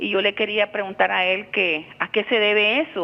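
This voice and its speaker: Moderate pace and medium pitch from a woman, pitch variation ordinary. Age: 60s. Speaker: caller. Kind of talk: call-in question to TV program. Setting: phone call. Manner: halting.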